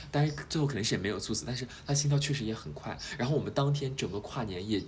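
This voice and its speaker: A man at medium pitch talking very fast with lively intonation, amid audible room echo and noticeable background noise. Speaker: podcast host. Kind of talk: casual chat.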